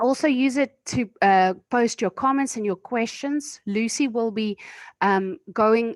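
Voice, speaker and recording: A woman with a plain, everyday voice and fairly high pitch, ordinary pitch variation, a dry, close sound with no echo, and a quiet background. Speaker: webinar moderator. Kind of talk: webinar introduction. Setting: video call.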